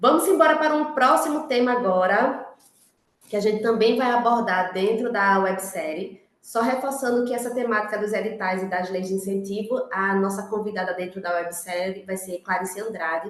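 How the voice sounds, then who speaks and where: A woman's medium-pitched voice, rising and falling in an ordinary way, carries an audible room echo. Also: moderate pace. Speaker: workshop facilitator. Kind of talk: workshop moderation. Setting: online video meeting.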